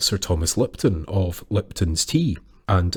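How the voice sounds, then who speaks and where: The recording is very clean with a silent background as a man speaks at a fairly slow pace in a somewhat breathy voice. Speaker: storyteller. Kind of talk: folklore storytelling narration.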